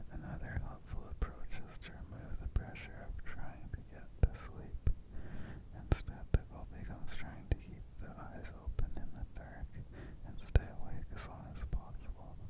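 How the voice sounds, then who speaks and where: A man whispering at a moderate pace with big swings in loudness. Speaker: ASMR artist. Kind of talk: ASMR informational narration. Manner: whispered; soft, gentle.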